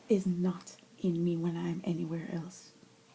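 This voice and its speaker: The voice has a dark, mellow tone and is somewhat breathy, moving at a moderate pace. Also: woman. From Jamaica (Mandeville). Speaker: vlogger. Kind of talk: personal vlog monologue. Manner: animated.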